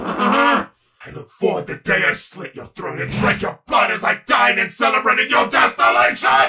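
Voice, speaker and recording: A man puts on a character voice with a high pitch, speaking at a moderate pace with hardly any pauses. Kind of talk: comic villain overacting. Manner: commanding, bloodthirsty, petulant.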